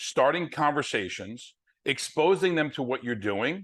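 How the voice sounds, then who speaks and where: A man with a strong New Jersey accent and lively intonation over a quiet background. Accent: New Jersey, heavy. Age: 60s. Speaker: network marketing distributor. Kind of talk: sales presentation on video call.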